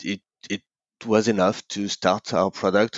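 Male voice with a French accent. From France, Paris. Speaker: entrepreneur. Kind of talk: interview. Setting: at home.

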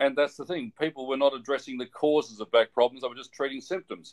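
A speaker with an Australian accent. The delivery is very fast. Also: man. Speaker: physiotherapist. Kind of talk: interview.

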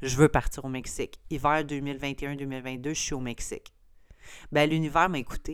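A woman's very deep, low voice with a Quebec accent, at a very slow pace. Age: 30s. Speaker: podcast host, entrepreneur. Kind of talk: casual solo monologue.

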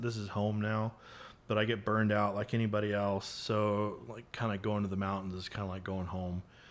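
This is an unremarkable speaking voice at a fairly quick pace. The intonation stays fairly even. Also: man. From North Texas, McKinney. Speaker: photographer. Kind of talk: casual interview.

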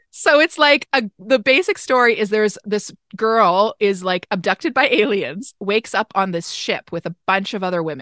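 The voice has a bright, sharp tone, very wide pitch swings and a moderate pace. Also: woman, dry, close sound with no echo. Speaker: podcast host. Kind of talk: casual chat.

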